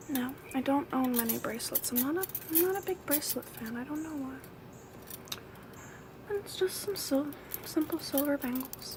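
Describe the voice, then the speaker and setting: A soft-spoken woman whispers with long, frequent pauses against noticeable background noise. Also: moderate pace. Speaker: ASMR content creator. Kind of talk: ASMR show and tell. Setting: outdoors with birds and neighbors in background. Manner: soft-spoken, whispery.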